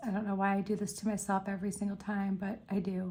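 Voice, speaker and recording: Somewhat breathy and dark, mellow in tone, a woman's medium-pitched voice moves at a fairly quick pace with monotone, flat intonation. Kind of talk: tutorial. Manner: casual chatty.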